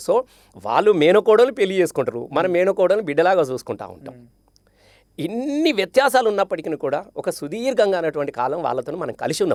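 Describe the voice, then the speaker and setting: Pitched high, a man's voice moves through very wide pitch swings. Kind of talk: interview answer.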